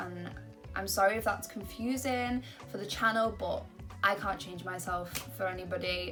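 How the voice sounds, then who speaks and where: A woman with an American accent speaks at a moderate pace while music plays in the background. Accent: American-sounding. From Britain. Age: young. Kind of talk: casual talk to camera.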